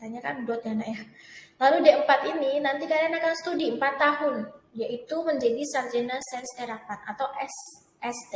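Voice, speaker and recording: Lively in intonation, a woman with a high voice speaks at a moderate pace. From Central Java, Semarang. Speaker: teacher. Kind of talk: tutorial. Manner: casual, occasional slips of the tongue.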